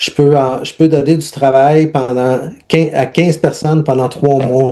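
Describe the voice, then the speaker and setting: In a Quebec accent, a man speaks at a very slow pace with a dark, mellow tone. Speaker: humanitarian aid worker and leadership coach. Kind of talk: interview testimony. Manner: halting, many repetitions and fillers.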